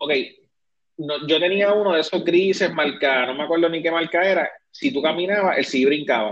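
Using ordinary pitch variation, a man with a high voice speaks at a moderate pace. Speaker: podcast host. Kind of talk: casual chat.

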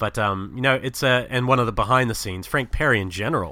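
Very fast, bright and sharp speech with ordinary pitch variation, over a silent background in a very clean recording. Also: man. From New Zealand, Wellington. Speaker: film podcaster. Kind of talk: casual interview chat.

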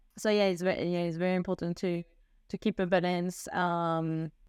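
On a very clean recording with a silent background, a woman speaks in a French accent with a fairly low pitch. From France. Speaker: expat, consultant. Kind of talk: casual interview. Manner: halting, many fillers.

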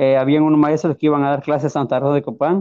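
A man with a Honduran accent speaks at a fairly high pitch. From Honduras, rural Ocotepeque. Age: 30s. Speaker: blind musician. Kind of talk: testimony. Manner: halting, hesitant.

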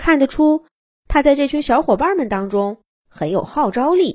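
A woman's slightly mellow tone at a fairly slow pace.

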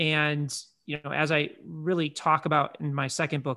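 In a plain, everyday voice, a man speaks at a fairly high pitch and a moderate pace. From Chicago, US Midwest. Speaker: digital marketing agency CEO. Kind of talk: interview.

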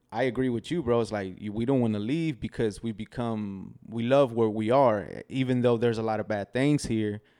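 Medium-pitched male voice, dark and mellow, with ordinary pitch variation at a moderate pace on a very clean recording with a silent background. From Texas, Del Valle (Austin area), moved from Mexico at two. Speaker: video producer. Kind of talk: casual chat. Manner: halting, many fillers and repeats.

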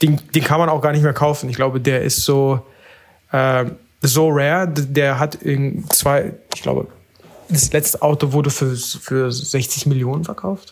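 This man has a normal speaking voice with a fairly high pitch. He talks at a fairly slow pace with fairly even intonation. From Berlin. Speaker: analog photographer. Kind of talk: casual chat.

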